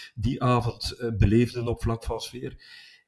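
Very slow speech comes from a man. The recording is very clean, with nothing in the background. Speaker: football podcast co-host, travelling supporter. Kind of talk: casual chat.

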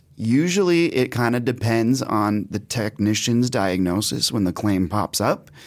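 A man with a plain, everyday voice talks at a moderate pace and medium pitch, his intonation lively, in a very clean recording with a silent background. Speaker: home warranty industry representative. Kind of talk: casual interview.

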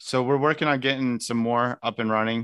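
Bright and sharp in tone, a man speaks at a fairly quick pace with a Midwestern American accent. His intonation is fairly even, and the background is quiet. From US Midwest, northern Indiana (Elkhart). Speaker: political candidate. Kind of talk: interview.

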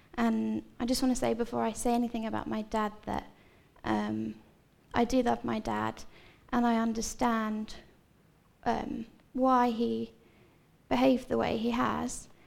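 A woman speaks with a southern English accent. Her speech has long, frequent pauses. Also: fairly slow pace. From Seaford, East Sussex, southern England. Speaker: church member sharing life story. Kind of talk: testimony. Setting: church stage with audience.

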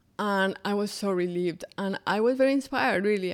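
A woman talks at a medium pitch and a fairly slow pace. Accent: Colombian. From Colombia, Bogotá. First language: Spanish. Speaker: interpreter and small business founder. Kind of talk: interview conversation.

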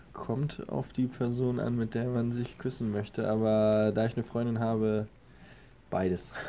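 A man talks at a medium pitch and a fairly slow pace, his tone dark and mellow. His loudness stays very even and his intonation is monotone and flat. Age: 20s. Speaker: athlete.

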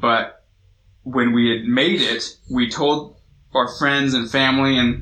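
A man's medium-pitched voice with an American accent, bright and sharp in tone, with ordinary pitch variation. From US West Coast, Long Beach, California. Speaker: youth pastor. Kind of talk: sermon. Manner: casual, conversational.

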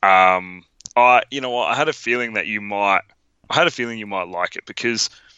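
A man with an Australian accent talks in an animated tone with ordinary pitch variation. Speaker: podcast co-host. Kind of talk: casual movie review chat. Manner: animated, jokey.

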